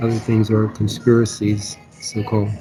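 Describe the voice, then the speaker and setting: Music in the background behind a man's medium-pitched, monotone voice with flat intonation at a moderate pace. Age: 70s. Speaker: podcast co-host. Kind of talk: casual discussion. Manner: halting, many false starts.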